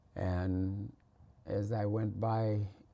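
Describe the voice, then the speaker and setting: Somewhat breathy, with a dark, mellow tone and fairly even intonation, a man talks in an American accent. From Minnesota. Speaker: farmer. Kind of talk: interview answer.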